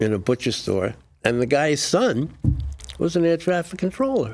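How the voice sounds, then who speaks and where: Speaking with a New York accent, a man talks at a moderate pace. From New York, Brooklyn. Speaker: Air Force veteran and author. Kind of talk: interview. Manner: halting, with frequent repetitions.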